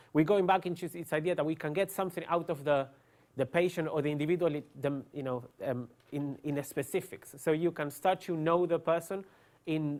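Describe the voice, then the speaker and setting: A man with an Argentine accent speaks at a fairly quick pace, his pitch fairly high. His intonation is fairly even, and the recording is very clean with a silent background. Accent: Argentinian, noticeable. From Argentina. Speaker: neuroscientist. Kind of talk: lecture. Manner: hesitant, many fillers.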